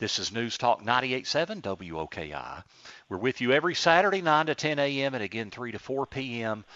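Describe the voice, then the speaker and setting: A man speaks at a medium pitch and a moderate pace, with vocal fry. His pitch swings very widely. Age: 50s. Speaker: radio host and financial advisor. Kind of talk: radio interview. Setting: studio.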